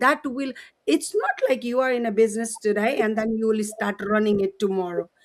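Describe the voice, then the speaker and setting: With a Nepali accent, a woman speaks at a fairly high pitch. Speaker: co-host. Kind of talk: live stream chat. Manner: halting.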